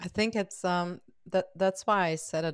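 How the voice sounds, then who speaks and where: In a very clean recording with a silent background, a woman speaks with a German accent. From Germany. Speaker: podcast host. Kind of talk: interview.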